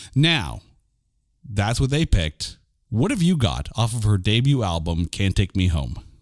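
An animated voice with vocal fry and very wide swings in pitch. The sound is dry and close, with no echo. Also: man, fairly low pitch for a man, moderate pace. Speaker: podcast host. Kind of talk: casual chat.

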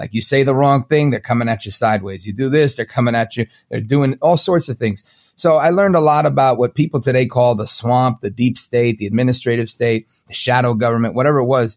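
Dry and close with no echo, a man with a New York accent talks at a very fast pace, his medium pitch showing ordinary variation. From Brooklyn, New York. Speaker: talk show host. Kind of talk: interview.

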